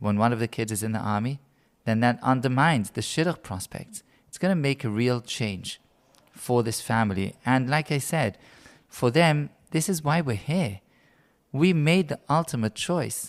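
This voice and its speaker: Recorded very cleanly against a silent background, a man with a British accent talks at medium pitch and a moderate pace with lively intonation. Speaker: rabbi. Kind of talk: role-play explanation in interview.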